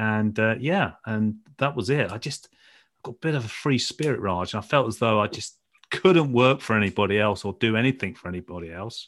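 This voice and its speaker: A man with a British accent, at medium pitch, fairly quick pace and with lively intonation. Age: 50s. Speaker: former footballer turned trader and coach. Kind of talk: interview.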